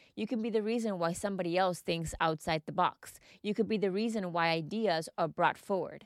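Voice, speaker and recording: A woman with a Spanish accent and a medium pitch talks at a fairly quick pace in an animated, upbeat tone with ordinary pitch variation, the sound dry and close with no echo. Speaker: mindset coach and podcast host. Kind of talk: scripted-style solo monologue podcast.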